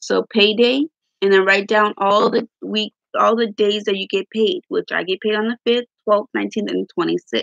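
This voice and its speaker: Speaking at a moderate pace and medium pitch, a woman has a plain, everyday voice in a dry, close sound with no echo. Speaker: budgeting vlogger. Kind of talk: tutorial. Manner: casual, rambling with fillers.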